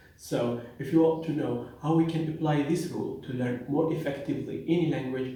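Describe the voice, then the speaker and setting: A man with a non-native accent and fairly high pitch, ordinary pitch variation, a moderate pace and hardly any pauses, amid noticeable background noise and audible room echo. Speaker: pharmacist and language teacher. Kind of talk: educational talk.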